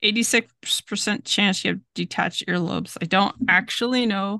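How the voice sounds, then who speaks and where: A woman with a bright, sharp tone and medium pitch speaks at a moderate pace with fairly even intonation and vocal fry, the sound dry and close with no echo over a quiet background. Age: 40s. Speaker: podcast co-host. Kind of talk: casual chat. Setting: video call.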